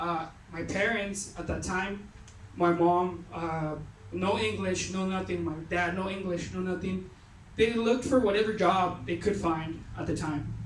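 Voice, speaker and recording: The speaker has a Mexican accent, and noticeable background noise runs under the voice. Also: fairly slow pace. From Mexico. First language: Spanish. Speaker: youth retreat speaker. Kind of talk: personal testimony talk. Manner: casual, halting with fillers.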